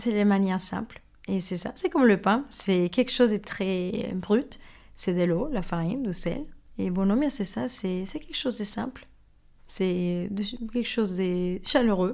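A woman's speech at a fairly slow pace, with ordinary pitch variation. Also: medium pitch for a woman. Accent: Mexican. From Mexico. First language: Spanish (speaking French). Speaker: baker. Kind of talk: interview. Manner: hesitant with fillers.

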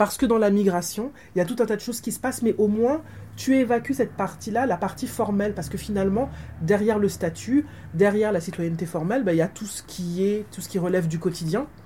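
A woman speaks very fast at a medium pitch with ordinary pitch variation, over noticeable background noise. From Martinique. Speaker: academic author. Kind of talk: book talk interview.

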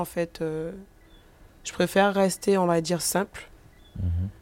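Speaking very slowly, a woman uses a fairly low pitch. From Guadeloupe, countryside. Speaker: rapper. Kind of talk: interview. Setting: bookstore cultural space. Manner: hesitant, many fillers.

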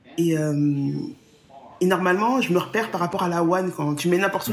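A woman's fairly low voice at a fairly quick pace, with noticeable background noise. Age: 40s. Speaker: travel planner. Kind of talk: interview.

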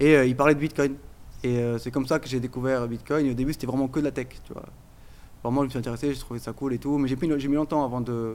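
Delivery runs at a very fast pace. Its intonation stays monotone and flat. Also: man, medium pitch for a man. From Portugal. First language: Portuguese (speaking French). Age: 30s. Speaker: crypto entrepreneur, IT engineer. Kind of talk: casual chat.

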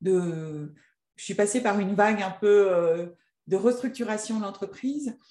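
A woman's medium-pitched voice, fairly slow, with ordinary pitch variation. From Annecy, French Alps. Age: 40s. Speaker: entrepreneur and coach. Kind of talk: interview. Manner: hesitant, many fillers.

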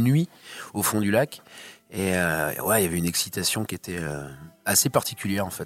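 A man's fairly quick delivery with lively intonation. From Brittany, France (near Guingamp). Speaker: musician. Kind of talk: interview. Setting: studio.

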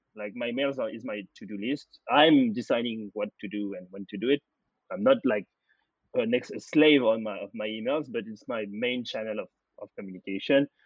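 A man with a French accent talks at a moderate pace and medium pitch, with ordinary pitch variation. His loudness swings widely. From France. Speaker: data platform founder. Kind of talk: interview.

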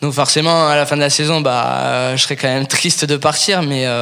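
A man with a fairly high voice talks at a moderate pace in a flat monotone, with noticeable background noise. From Paris region, raised in Toulouse from 14. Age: 20s. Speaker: professional rugby player. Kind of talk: interview. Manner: halting, many fillers and repetitions.

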